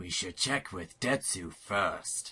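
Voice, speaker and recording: A man speaks in a put-on character voice. It is raspy and pitched very deep and low. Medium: audio drama. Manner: gruff, stern.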